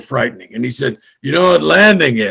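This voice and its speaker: This man's fairly high voice has vocal fry and swings very widely in pitch. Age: 60s. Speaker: comedian. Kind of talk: stand-up.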